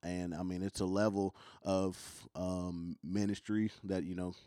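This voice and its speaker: A man talks with a Kentucky accent at a fairly low pitch. The recording is very clean, with a silent background. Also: dry, close sound with no echo. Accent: country Kentucky. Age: 20s. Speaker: traveling youth minister and worship leader. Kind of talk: casual chat. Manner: halting, many ums.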